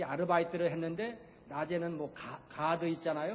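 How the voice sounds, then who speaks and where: The speaker is a man with a high voice. Audible room echo is present. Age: 70s. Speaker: retired missionary pastor. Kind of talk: sermon. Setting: church. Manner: conversational, with frequent filler sounds.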